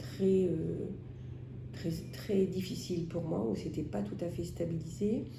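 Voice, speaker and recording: A woman with a very deep, low pitch speaks at a very slow pace with audible room echo. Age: 60s. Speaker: patient with COPD. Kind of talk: testimony. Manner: hesitant, many filler sounds.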